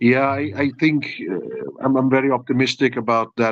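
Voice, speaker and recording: A man with a Dutch accent talks at a moderate pace, keeping his intonation fairly even. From Netherlands. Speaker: FMCG industry expert. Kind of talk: panel discussion.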